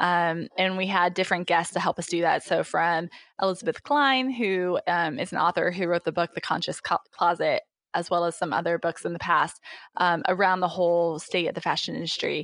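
A woman with an American accent talks at a fairly quick pace in a fairly low pitch. The sound is dry and close with no echo, over a quiet background. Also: ordinary pitch variation. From Indiana, US Midwest. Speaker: startup founder and CEO. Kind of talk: interview. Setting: remote call from home office. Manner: hesitant, many fillers.

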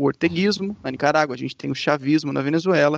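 A man with a fairly high pitch talks at a very fast pace, his voice dry and close with no echo against a quiet background. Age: 20s. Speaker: journalist. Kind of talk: casual interview.

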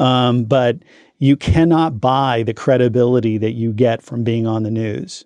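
Against a quiet background, a man speaks at a fairly slow pace with fairly even intonation and a dark, mellow tone. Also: medium pitch for a man. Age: 50s. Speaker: family law attorney. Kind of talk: interview. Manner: halting.

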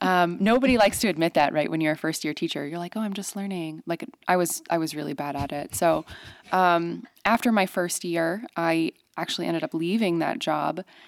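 A woman with a plain, everyday voice, fairly low pitch, ordinary pitch variation and a fairly quick pace, on a very clean recording with a silent background. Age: 20s. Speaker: financial coach. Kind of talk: casual chat. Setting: studio.

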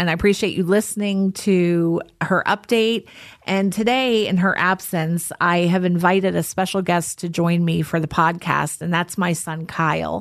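A woman has a normal speaking voice with a fairly low pitch and fairly even intonation. The background is quiet. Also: moderate pace. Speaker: podcast host. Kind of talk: casual podcast conversation.

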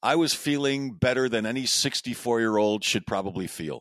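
An ordinary speaking voice, a man at medium pitch and moderate pace, recorded very cleanly against a silent background with a dry, close sound and no echo. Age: 60s. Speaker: podcast host, cancer patient. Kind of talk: casual conversation.

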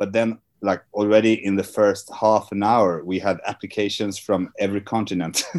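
On a very clean recording with a silent background, a man with a Swedish accent and a fairly low pitch speaks at a moderate pace. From Sweden. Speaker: film festival artistic director. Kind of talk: interview.

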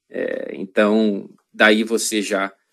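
A man speaks with a Rio de Janeiro accent. His pitch sits fairly low. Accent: Carioca Brazilian Portuguese. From Rio de Janeiro, Brazil. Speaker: journalist. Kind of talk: casual interview. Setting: video call.

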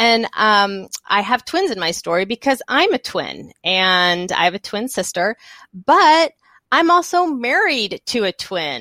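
With a Texan accent, a woman talks at a fairly slow pace in a fairly high pitch, her tone bright and sharp, her pitch swinging very widely, and the sound is dry and close with no echo on a very clean recording with a silent background. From Texas. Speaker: children's author. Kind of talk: interview. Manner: halting.

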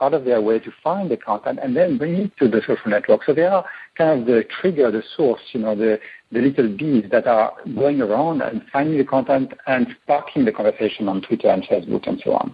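Lively in intonation, a man with a French accent speaks at a fairly high pitch. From France. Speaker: tech company co-founder. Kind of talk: interview. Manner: halting.

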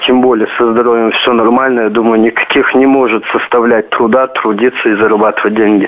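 Monotone, flat intonation at a moderate pace. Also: man. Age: 20s. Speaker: caller. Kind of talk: phone-in call. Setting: phone call.

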